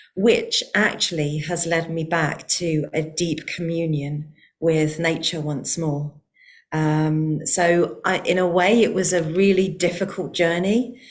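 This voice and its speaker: A woman's fairly low voice with a British accent, very slow, with fairly even intonation. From UK. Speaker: heart-centred nature connection researcher. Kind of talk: online forum conversation.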